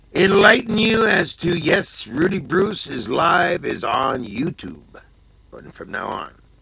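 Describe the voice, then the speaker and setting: Noticeable background noise sits behind a man speaking at a very slow pace and high pitch. His pitch swings very widely and his loudness rises and falls sharply. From Canada. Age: 60s. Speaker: livestream host. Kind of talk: casual live show sign-off.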